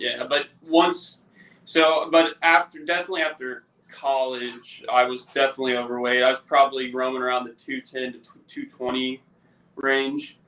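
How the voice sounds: At a medium pitch, a man speaks at a moderate pace in a bright, sharp tone with fairly even intonation.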